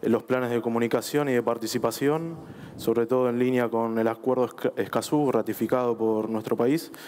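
With light background noise behind him, a man speaks at a moderate pace with very even loudness and fairly even intonation. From Argentina. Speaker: government official; panelist. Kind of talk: panel discussion. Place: stage. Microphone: headset.

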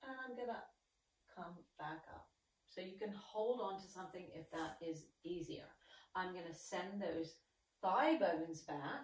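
With audible room echo, a woman speaks at a fairly slow pace in a somewhat breathy voice, with long, frequent pauses and big swings in loudness. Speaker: exercise instructor. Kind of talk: tutorial. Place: home room. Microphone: camera far.

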